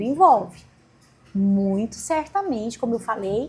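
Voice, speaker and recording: This is a plain, everyday voice. A woman speaks at a moderate pace in a fairly high pitch with lively intonation. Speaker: law professor and lawyer. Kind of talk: interview.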